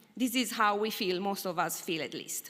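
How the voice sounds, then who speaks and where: A woman's voice with an Italian accent, lively intonation and a moderate pace. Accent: Italian, unchanged. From Italy. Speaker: academic researcher. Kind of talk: conference presentation.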